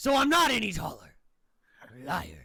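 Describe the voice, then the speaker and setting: A raspy, put-on character voice with a fairly high pitch, delivered at a moderate pace. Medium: actual play. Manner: dismissive, condescending.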